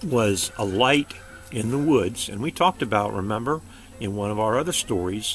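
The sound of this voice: An unforced reading voice is heard. Its intonation is lively.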